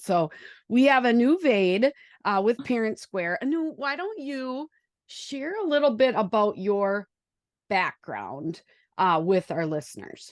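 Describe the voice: Lively intonation carries a woman's medium-pitched voice, which has a Wisconsin accent. She talks at a fairly slow pace, and the sound is dry and close with no echo.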